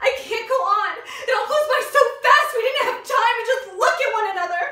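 A woman uses a raised, projected voice at a moderate pace, with ordinary pitch variation. Audible room echo comes through over a quiet background. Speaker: actor at an audition. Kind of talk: dramatic theatre monologue. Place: studio. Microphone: camera far.

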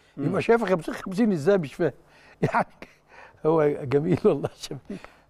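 The man speaks at a fairly slow pace with lively intonation. His background is quiet. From Egypt. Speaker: sports TV show co-host, club official; TV sports pundit. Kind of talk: studio sports talk show. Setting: TV studio. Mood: amused, lively. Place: studio.

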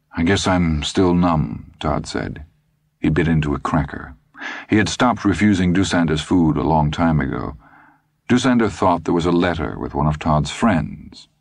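Speaking at a moderate pace, a man uses a very deep, low pitch with vocal fry and ordinary pitch variation. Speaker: audiobook narrator. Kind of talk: literary audiobook reading of a thriller, third-person narration with character voices. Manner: expressive, with distinct voices for each character.

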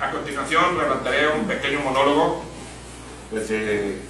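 A man's fairly high voice with ordinary pitch variation, plus audible room echo and noticeable background noise. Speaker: prison inmate, former cartel leader. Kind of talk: formal speech to inmates and prison officials. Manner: precise, eloquent. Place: hall. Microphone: camera far.

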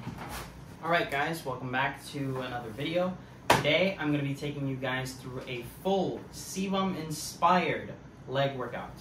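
A man speaks at a fairly slow pace with fairly even intonation. The room echo is audible, and there is light background noise. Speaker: fitness vlogger. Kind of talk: casual vlog chat. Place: home room. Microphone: camera far.

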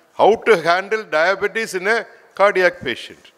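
This man speaks at a high pitch. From India. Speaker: physician; medical professor. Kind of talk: welcome speech. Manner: halting; formal. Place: hall. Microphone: podium.

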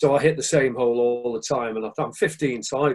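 Against a quiet background, a man talks with a dark, mellow tone and fairly even intonation. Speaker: guest. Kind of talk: interview answer. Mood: relaxed, amused storytelling. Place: home room. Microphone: video call.

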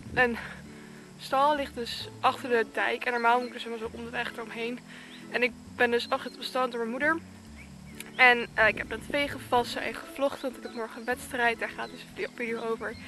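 Over clear music in the background, a woman speaks fairly quickly at a high pitch in a monotone, flat delivery. Her loudness swings widely, and the sound is dry with no echo. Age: young. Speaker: equestrian vlogger. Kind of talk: casual talk to camera. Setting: outdoors. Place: open country. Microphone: earbuds.

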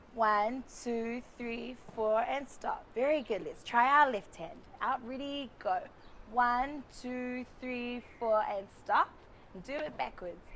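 A woman's high-pitched voice with a New Zealand accent, very slow and upbeat, with big swings in loudness, ordinary pitch variation and light background noise. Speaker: cultural performer and instructor; instructor. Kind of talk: tutorial. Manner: upbeat, counting rhythmically. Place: garden. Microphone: lapel.

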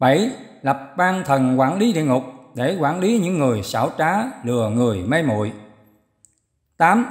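A man talks in a fairly high pitch with very wide swings. He goes at a fairly slow pace with long, frequent pauses. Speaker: reader of the abbot's answers. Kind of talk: reading aloud.

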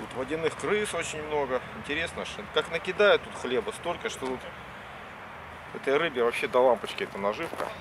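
Moderate-paced male speech with big swings in loudness, long, frequent pauses, and noticeable background noise. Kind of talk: casual explanation to the camera person. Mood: wry, joking. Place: open country. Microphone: phone near.

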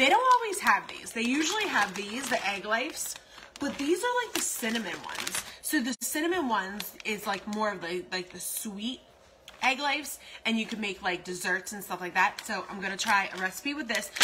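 Over noticeable background noise, the speech moves at a moderate pace with lively intonation and big swings in loudness. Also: woman. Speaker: food vlogger. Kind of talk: casual vlog chat, live-stream style reading comments. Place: kitchen. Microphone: phone near.

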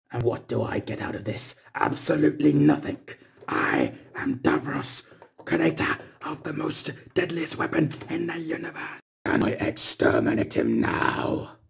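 A man puts on a raspy character voice at a fairly high pitch, speaking at a moderate pace with ordinary pitch variation left aside. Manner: commanding, menacing.

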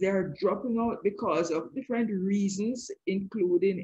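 In a somewhat breathy voice, a woman talks at a medium pitch. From Jamaica. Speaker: educational psychologist and author. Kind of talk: interview.

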